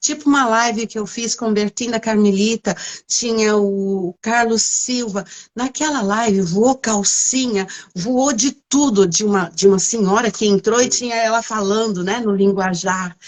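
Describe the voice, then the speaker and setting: A woman with a fairly high voice and ordinary pitch variation talks at a fairly slow pace. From São Paulo city, Brazil. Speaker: livestream interviewer. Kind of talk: casual live interview. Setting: online livestream.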